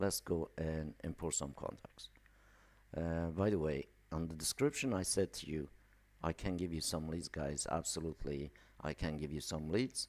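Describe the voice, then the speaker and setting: At a moderate pace, a man with a very deep, low pitch talks with ordinary pitch variation. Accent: non-native. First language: not English. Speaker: email marketing entrepreneur. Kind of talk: live stream tutorial. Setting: live stream. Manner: casual, filler-heavy.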